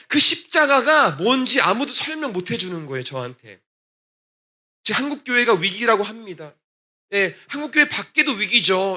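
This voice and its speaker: A man speaks in a raised, projected voice at a high pitch, with very wide pitch swings. His tone is bright and sharp, and his pace is moderate. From Texas, US (Korean immigrant church). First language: English (speaking Korean). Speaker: gospel singer. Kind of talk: testimony. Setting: church.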